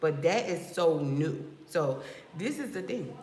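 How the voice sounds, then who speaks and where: Over noticeable background noise, an animated voice speaks with an American accent. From New Jersey. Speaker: loctician and business coach. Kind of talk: livestream talk to viewers.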